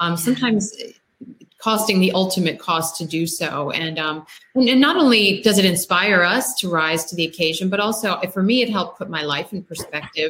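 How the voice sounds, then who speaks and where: Speaking fairly quickly with an American accent, a woman uses a normal speaking voice at medium pitch with ordinary pitch variation. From US, Maryland. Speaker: novelist. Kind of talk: casual chat. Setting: video call.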